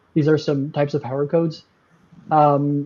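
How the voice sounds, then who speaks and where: The pace is fairly quick. It is a plain, everyday voice. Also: man. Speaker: software company tech lead. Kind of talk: live stream product presentation. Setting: live stream.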